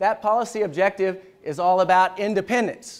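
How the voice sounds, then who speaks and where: This man has a Southern US accent and a high pitch. He speaks at a moderate pace. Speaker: military history lecturer. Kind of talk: lecture. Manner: animated; casual, conversational.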